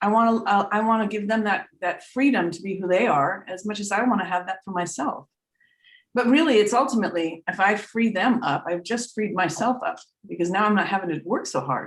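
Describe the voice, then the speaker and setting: Speaking at a fairly quick pace, a woman uses a medium-pitched voice with ordinary pitch variation. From US Northeast (Vermont). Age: 60s. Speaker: trance medium and spiritual teacher. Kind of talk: casual chat. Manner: halting, repeats words.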